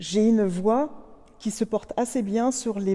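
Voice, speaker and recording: A woman's dark, mellow voice at a very slow pace, with ordinary pitch variation. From Canada. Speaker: musicologist and singer. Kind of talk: interview. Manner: hesitant, many fillers.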